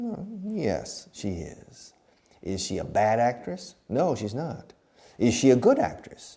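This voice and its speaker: At a very slow pace, a man with an American accent speaks in a medium pitch, with very wide pitch swings and big swings in loudness. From Texas. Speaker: English teacher. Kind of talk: language lesson. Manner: slow, repetitive drilling.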